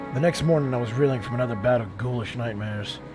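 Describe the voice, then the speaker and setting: Over music in the background, a man races along at a very fast pace with a medium pitch and fairly even intonation. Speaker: gaming YouTuber / let's play host. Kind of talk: reading noir game narration aloud.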